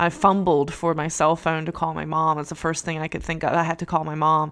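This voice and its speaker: Her fairly low voice comes in an American accent, monotone and flat at a moderate pace. The recording is very clean, with a silent background. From US Appalachia, Virginia/West Virginia border. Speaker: podcast host, professor. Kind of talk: solo podcast commentary. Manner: hesitant, many fillers.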